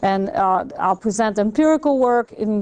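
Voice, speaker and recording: A woman speaks at a fairly slow pace with a French accent. Her pitch sits fairly high. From Belgium. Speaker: economics professor. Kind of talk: lecture.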